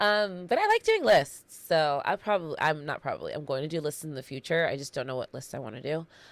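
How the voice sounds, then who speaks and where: A woman is speaking. Her tone is animated. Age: 30s. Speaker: podcast host. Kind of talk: casual monologue.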